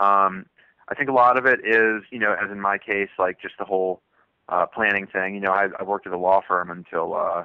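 An ordinary speaking voice at a fairly quick pace, fairly even in intonation, with big swings in loudness. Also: man. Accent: American. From US South, southwestern Virginia. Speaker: thru-hiker. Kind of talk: interview.

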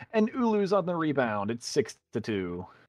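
A man's voice with very wide pitch swings, dry and close with no echo. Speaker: sports commentator. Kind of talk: live play-by-play commentary.

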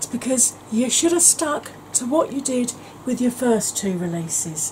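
A woman with lively intonation at a moderate pace over light background noise. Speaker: beauty vlogger. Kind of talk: casual vlog chat. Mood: exasperated, sarcastic, humorous. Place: home room.

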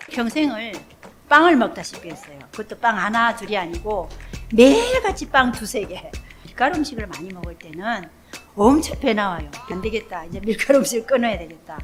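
Against music in the background, a woman with a fairly high pitch and lively intonation talks at a moderate pace. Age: 70s. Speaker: senior model. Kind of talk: interview answer.

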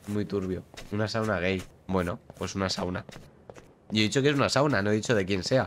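Light background noise sits behind a man with a fairly low pitch and ordinary pitch variation who talks at a fairly quick pace, broken by long, frequent pauses. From Spain. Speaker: gaming streamer. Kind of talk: live gameplay commentary. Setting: live stream. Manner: casual, chatty. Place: home room. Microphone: studio mic.

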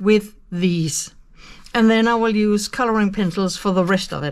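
A woman speaks with a Danish accent. Her pitch variation is ordinary. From Denmark. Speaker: colouring youtuber. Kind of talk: tutorial. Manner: hesitant with fillers. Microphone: phone near.

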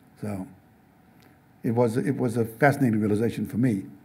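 A man's dark, mellow voice with vocal fry and an American accent, his pitch varying in an ordinary way. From South Africa. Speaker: novelist and speaker; speaker. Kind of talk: talk with audience Q&A. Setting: stage with audience. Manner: halting, many repetitions. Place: classroom. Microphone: podium.

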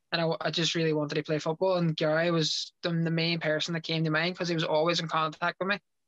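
In a Derry accent, a man speaks at a high pitch and a very fast pace with hardly any pauses, in a monotone, flat intonation at very even loudness, the sound dry with no echo against a quiet background. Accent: Northern Irish (Derry). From Northern Ireland, Derry. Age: 20s. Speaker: professional footballer. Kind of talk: interview. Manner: halting. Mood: relaxed, sincere. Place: home room. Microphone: video call.

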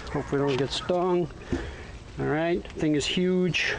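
Noticeable background noise runs under the recording. The speech moves at a fairly slow pace. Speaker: boat seller. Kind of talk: walkaround sales tour narration. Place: boat. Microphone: phone near.

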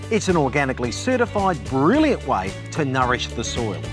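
A man talks at a fairly quick pace with clear music playing in the background. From Australia. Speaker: TV gardening presenter and horticulturist. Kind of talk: product demonstration narration to camera.

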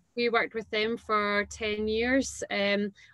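A woman speaks with a Glaswegian accent. The background is quiet. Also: dry sound with no echo. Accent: Glaswegian Scottish. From Scotland, Renfrew near Glasgow; Scotland. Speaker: entrepreneur, dance school founder; guest. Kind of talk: casual interview. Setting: video call. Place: home room. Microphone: video call.

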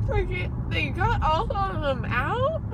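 Amid loud background noise, a woman speaks at a very slow pace in a dry sound with no echo. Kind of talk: casual groggy chat. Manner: dazed, numb-mouthed amazement. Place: car. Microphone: phone near.

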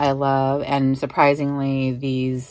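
A woman's very deep, low pitch at a fairly slow pace. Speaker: perfume collector vlogger. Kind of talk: casual vlog chat. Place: home room. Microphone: phone near.

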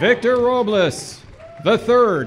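A man at a very slow pace and high pitch, with faint crowd noise in the background

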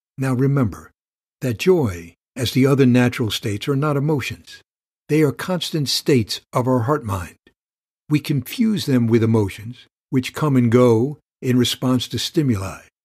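Somewhat breathy speech at a moderate pace with ordinary pitch variation against a quiet background. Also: man. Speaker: meditation guide. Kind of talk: guided meditation teaching. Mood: calm, warm. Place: studio.

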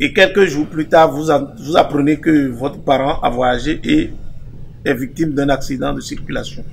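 Fairly high-pitched male voice at a fairly slow pace, with fairly even intonation and light background noise. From Benin, Savalou area; Benin. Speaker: traditional healer and priest; priest. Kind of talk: explanatory interview talk; interview answer. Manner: halting with repetitions. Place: garden. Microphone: handheld.

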